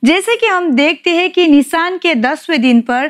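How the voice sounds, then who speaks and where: The background is silent in this very clean recording. A woman's intonation is lively. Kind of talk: TV show host.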